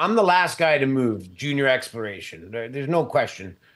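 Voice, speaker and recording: At a moderate pace, a man talks in an unremarkable speaking voice with medium pitch and ordinary pitch variation. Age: 50s. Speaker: mining company CEO. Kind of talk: interview.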